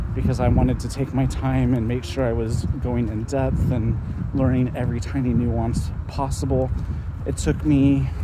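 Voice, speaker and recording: Loud background noise fills the recording as a man talks at a moderate pace. The sound itself is dry with no echo. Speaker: fitness vlogger. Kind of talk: casual vlog chat. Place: street. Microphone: phone near.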